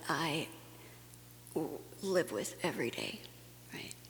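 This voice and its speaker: Whispering, a woman speaks. Noticeable background noise runs through the clip. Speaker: conference speaker. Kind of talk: personal testimony talk.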